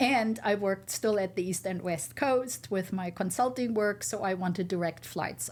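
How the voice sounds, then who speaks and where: Speaking fairly slowly with a German accent, a woman uses lively intonation and a medium pitch with vocal fry. The recording is very clean, with a silent background. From Germany. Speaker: entrepreneur. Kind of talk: interview.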